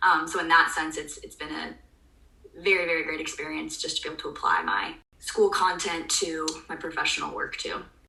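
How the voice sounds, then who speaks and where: Audible room echo and noticeable background noise are present. A woman talks at a fairly quick pace. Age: 20s. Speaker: public health student, contact tracer. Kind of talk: interview.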